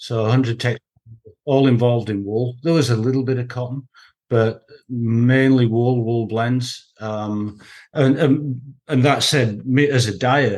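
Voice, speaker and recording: With a Yorkshire accent, a man speaks at a medium pitch. He goes fairly slowly with fairly even intonation. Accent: Huddersfield Yorkshire. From northern England, Huddersfield. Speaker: textile production expert. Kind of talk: interview.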